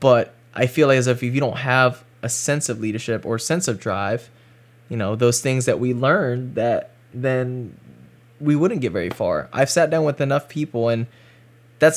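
A man with an American accent and medium pitch talks at a moderate pace in an ordinary speaking voice. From North Carolina, US South. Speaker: freelance cinematographer. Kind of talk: casual interview chat.

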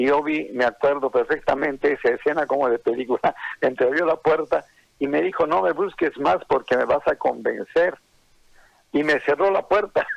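A man speaks at a moderate pace with very even loudness. The sound is dry and close, with no echo. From Bolivian highlands, Oruro. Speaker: songwriter. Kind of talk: interview.

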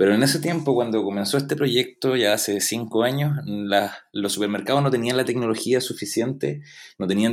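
This is an ordinary speaking voice, a man's, at a medium pitch with ordinary pitch variation. He talks at a fairly quick pace with very even loudness. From Chile, Valdivia. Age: 30s. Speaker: product owner and UX designer. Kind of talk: interview.

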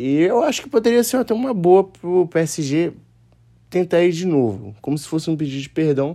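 High-pitched for a man, his voice carries a dark, mellow tone at a moderate pace. It shows very wide pitch swings and big swings in loudness. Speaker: football podcaster. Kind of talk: solo podcast commentary. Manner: casual.

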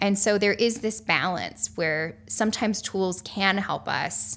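Vocal fry runs through the voice, which has an American accent. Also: woman. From US South, rural North Carolina. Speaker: conservation photographer and environmental social scientist. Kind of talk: interview. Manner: animated.

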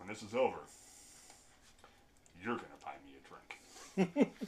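A man puts on a character voice at a medium pitch. He speaks at a moderate pace. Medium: actual play. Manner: calm, defiant, dry.

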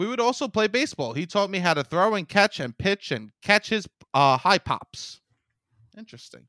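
A man with a New York accent and a high pitch speaks at a moderate pace in a raised, projected voice, his bright, sharp tone showing very wide pitch swings in a dry, close sound with no echo. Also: very clean recording, silent background. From Staten Island, New York. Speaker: comedian. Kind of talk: casual chat, reading aloud from old books.

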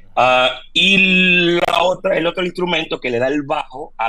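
The speaker has ordinary pitch variation and a fairly slow pace. Background noise is noticeable. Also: man. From Venezuela, Maracaibo. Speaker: percussionist and percussion teacher. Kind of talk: interview.

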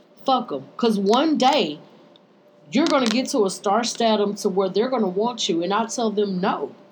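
A woman speaks at a fairly high pitch. There is audible room echo. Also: lively intonation, moderate pace. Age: 30s. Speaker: podcast and radio co-host. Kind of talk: casual chat. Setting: radio studio.

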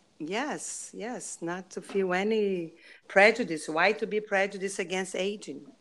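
A fairly slow tempo with ordinary pitch variation. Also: woman, medium pitch for a woman. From Brazil. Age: 50s. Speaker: author. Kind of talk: interview. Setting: video call.

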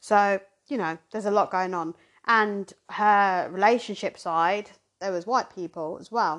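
In a southern English accent, a woman talks at a fairly slow pace with fairly even intonation. Her pitch is medium, and the background is quiet. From Zimbabwe, raised in southern England from age 7. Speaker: podcast host. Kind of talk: casual chat.

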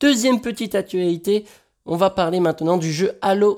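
Lively intonation marks a man's dark, mellow voice on a very clean recording with a silent background. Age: 20s. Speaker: video game news podcaster. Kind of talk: news chronicle, partly read.

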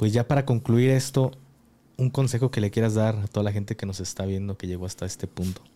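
Speaking at a very fast pace with a Mexican accent, this voice has a dark, mellow tone and ordinary pitch variation. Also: man, fairly low pitch for a man. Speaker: podcast host. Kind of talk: casual interview.

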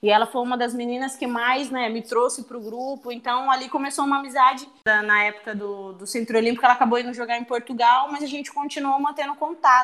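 Talking very fast with hardly any pauses, a woman at a high pitch keeps her intonation fairly even while her loudness swings widely. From Brazil, São Luís do Maranhão. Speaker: professional footballer. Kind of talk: interview.

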